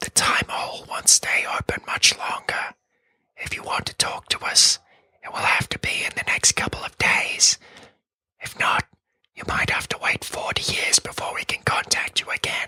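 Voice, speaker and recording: A raspy, whispering put-on character voice. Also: moderate pace. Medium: read story.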